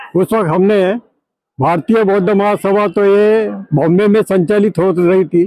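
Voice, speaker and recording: The sound is dry and close with no echo as a man speaks at a high pitch with fairly even intonation. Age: 80s+. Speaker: local elder, Buddhist community founder. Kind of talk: interview, personal recollection.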